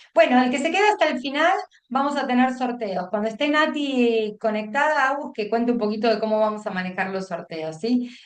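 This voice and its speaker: Audible room echo surrounds a woman speaking high, at a fairly quick pace, with lively intonation. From Buenos Aires province, Argentina. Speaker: teacher trainer, education consultant. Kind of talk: online workshop lecture. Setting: video call. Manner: fast; halting, many fillers and restarts.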